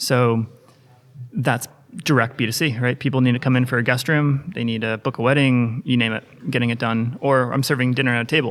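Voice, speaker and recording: In an American accent, a man talks at a fairly quick pace and a medium pitch. His intonation is monotone and flat. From US. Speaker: sales executive. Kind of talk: podcast interview.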